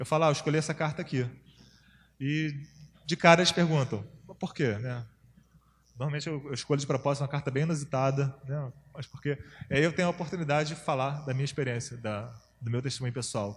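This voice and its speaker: Speaking at a very fast pace yet with long, frequent pauses, a man uses a fairly high, somewhat breathy voice. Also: ordinary pitch variation. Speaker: campus missionary, workshop speaker. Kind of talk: workshop lecture. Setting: church workshop with audience.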